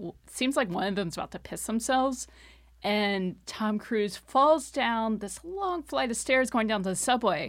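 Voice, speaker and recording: In a very clean recording with a silent background, a woman with an American accent uses an ordinary speaking voice, fairly high in pitch, fairly slow, with lively intonation. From Texas, Austin. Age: 30s. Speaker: podcast guest. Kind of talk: casual chat. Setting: studio.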